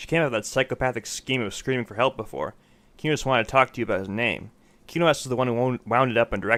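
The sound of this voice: An unforced reading voice, pitch varying in an ordinary way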